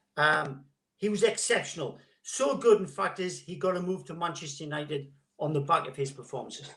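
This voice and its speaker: With vocal fry and a fairly high pitch, a man talks fairly quickly, his intonation lively and his loudness swinging widely. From northern England, Gateshead. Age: 60s. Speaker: former footballer. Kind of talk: interview.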